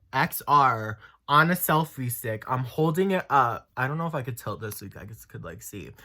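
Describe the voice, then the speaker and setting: A man with an American accent talks at a moderate pace in an animated, bright, sharp tone with very wide pitch swings. The recording is very clean with a silent background. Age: 20s. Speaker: YouTuber. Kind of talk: casual chat.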